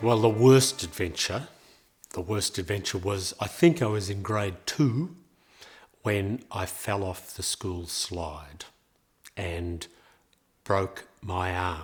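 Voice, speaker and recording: Somewhat breathy, a man with an Australian accent speaks at a very slow pace, leaving long, frequent pauses. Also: fairly low pitch for a man, ordinary pitch variation. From Australia, Melbourne. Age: 70s. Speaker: interviewee telling his life story. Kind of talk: life story interview. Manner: hesitant, with many fillers.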